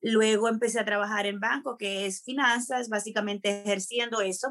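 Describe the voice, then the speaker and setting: This is a woman's voice. Her pitch is fairly high. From Dominican Republic. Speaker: TV presenter and voiceover announcer. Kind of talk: interview. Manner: animated; energetic.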